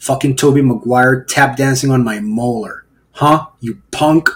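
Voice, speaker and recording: Speaking at a moderate pace, a man has a medium pitch. His voice is somewhat breathy. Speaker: podcaster. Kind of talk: casual monologue. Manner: animated.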